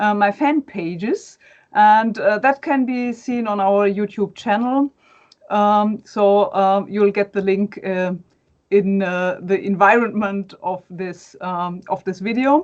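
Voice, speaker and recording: Speaking at a very slow pace, a woman has a German accent. Her pitch is medium, with ordinary variation. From Germany. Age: 40s. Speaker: academic and fan page administrator. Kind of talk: interview. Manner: halting, many fillers.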